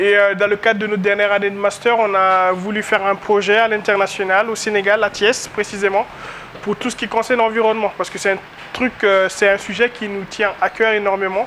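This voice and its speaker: Noticeable background noise sits behind a man with a high pitch. He talks at a fairly quick pace with monotone, flat intonation. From Guinea. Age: 20s. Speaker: master's student. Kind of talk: interview.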